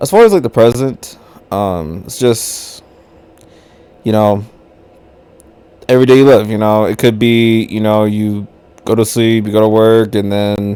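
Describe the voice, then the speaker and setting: Using an American accent, a man talks at a fairly slow pace with a fairly low pitch. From United States. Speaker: vlogger. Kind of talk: casual monologue. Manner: casual, filler-heavy.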